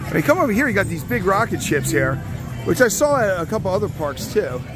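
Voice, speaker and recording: Clear music plays in the background as a man talks at a fairly quick pace. The sound is dry, with no echo. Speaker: amusement park vlogger. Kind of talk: casual vlog tour commentary. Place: street. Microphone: phone near.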